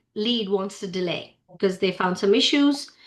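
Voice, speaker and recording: Here a woman talks at a moderate pace and a medium pitch. Her tone is bright and sharp. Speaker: company founder and CEO, speaker. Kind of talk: presentation to members. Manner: halting, many fillers.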